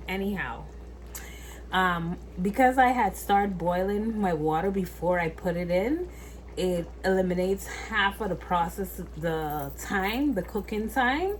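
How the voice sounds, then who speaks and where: A woman with a West Indian accent at a fairly slow pace, with audible room echo. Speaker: cooking vlogger. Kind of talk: cooking tutorial. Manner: casual, chatty.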